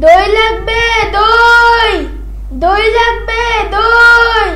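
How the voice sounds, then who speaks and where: A loud put-on character voice, extremely high in pitch. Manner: loud drawn-out hawker's call.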